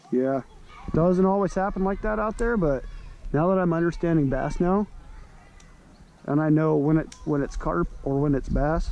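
A man's high-pitched voice at a moderate pace, with ordinary pitch variation and long, frequent pauses. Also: dry sound with no echo. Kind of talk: casual vlog chat. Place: waterside. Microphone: phone near.

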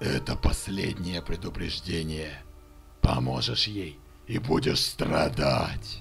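Over clear music in the background, a man uses a put-on character voice with a very deep, low pitch, a fairly slow pace and long, frequent pauses. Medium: dub. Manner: threatening, mocking.

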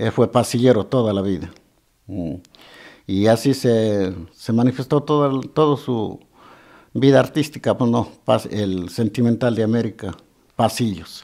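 Against a quiet background, a man talks at a fairly slow pace in a dark, mellow tone. He leaves long, frequent pauses. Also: ordinary pitch variation. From Azuay, Ecuador. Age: 70s. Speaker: musician; interviewee. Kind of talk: interview. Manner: halting. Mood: reflective, remembering a deceased friend. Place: office. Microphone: handheld.

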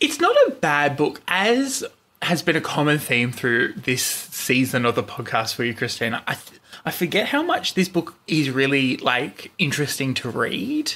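A man with an Australian accent speaks at a moderate pace over noticeable background noise. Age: 20s. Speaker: podcast host, guest. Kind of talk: casual chat. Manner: loud laugh.

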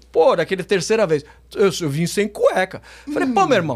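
A man is speaking. His pitch is high. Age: 50s. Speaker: businessman and reality show contestant; podcast guest. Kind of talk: casual chat. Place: studio. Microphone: studio mic.

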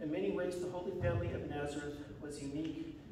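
A man talking at a very fast pace, with light background noise and audible room echo. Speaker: church minister. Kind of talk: liturgical introduction read aloud. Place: church.

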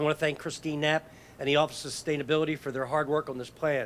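A man is speaking. Light background noise runs underneath. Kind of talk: prepared speech at press conference. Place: street. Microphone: podium.

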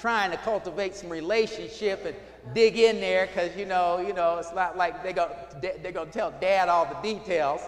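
Over light background noise, a man speaks at a high pitch and a moderate pace with ordinary pitch variation. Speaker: pastor. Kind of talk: sermon. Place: church.

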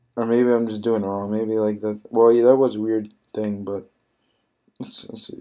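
At a moderate pace, a man speaks with a fairly low pitch and a dark, mellow, sad tone, his intonation flat and monotone. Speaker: mobile game YouTuber. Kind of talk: gameplay commentary. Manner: subdued, sad-sounding; halting, many fillers.

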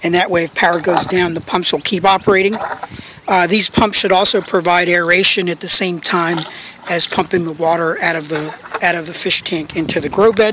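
A fairly quick voice in a dry sound with no echo, over noticeable background noise. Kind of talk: casual project update narration. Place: garden. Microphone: phone near.

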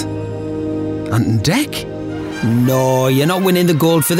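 A man talks with a Geordie accent. The sound is dry with no echo, and music plays clearly in the background. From North East England. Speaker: voice actor. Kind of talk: TV commercial read. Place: studio.

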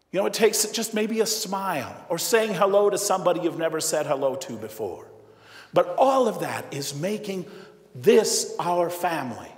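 Audible room echo surrounds a man speaking at a moderate pace. His pitch is high, with lively intonation. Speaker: priest giving homily. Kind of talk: sermon; in the tearful stretch, a hushed, solemn retelling of a father's grief. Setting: church. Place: church. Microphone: lapel.

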